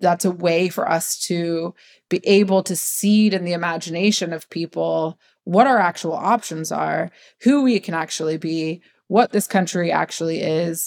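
Recorded dry and close with no echo, in a very clean recording with a silent background, a woman with an unremarkable speaking voice and fairly low pitch talks at a moderate pace with ordinary pitch variation. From US Midwest, Ohio. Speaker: media producer, production company co-founder. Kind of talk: interview conversation.

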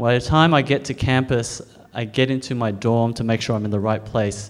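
In an Australian accent, a man talks at a moderate pace and medium pitch with ordinary pitch variation. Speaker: storyteller. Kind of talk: live storytelling. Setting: stage with audience.

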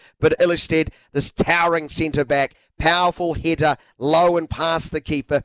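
A man speaks in a normal speaking voice with a fairly high pitch. The sound is dry and close, with no echo. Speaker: sports commentator. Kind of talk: live sports commentary. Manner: excited, rising urgency on goals, rapid-fire call.

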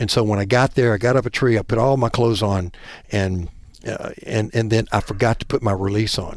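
Fairly quick speech from a man with a Southern US accent and fairly even intonation. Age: 50s. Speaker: bowhunter. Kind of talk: casual chat.

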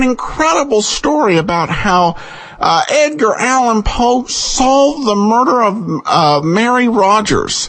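A man talks at a fairly slow pace in an extremely high pitch, his voice making very wide pitch swings. Noticeable background noise runs underneath. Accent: American. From Boise, Idaho, US. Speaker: host of an old-time radio podcast. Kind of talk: casual podcast hosting. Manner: relaxed, conversational, with frequent filler words.

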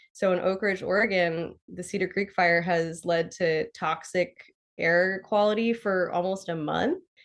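A woman speaks with an American accent in an ordinary speaking voice at medium pitch. Her pace is fairly slow and her intonation fairly even. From southwestern Pennsylvania, US. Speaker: forest ecologist. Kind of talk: casual interview.

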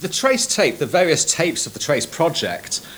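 Against noticeable background noise, a man with a Manchester accent talks at a fairly quick pace with very wide pitch swings. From northern England, Manchester. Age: 40s. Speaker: sound engineer and musician. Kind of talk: documentary interview. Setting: recording studio. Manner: halting.

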